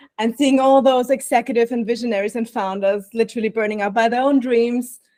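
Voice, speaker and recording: A woman with an Austrian accent talks at a fairly quick pace in a fairly high voice, recorded very cleanly against a silent background. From Austria, Vienna. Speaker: burnout prevention coach. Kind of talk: podcast interview.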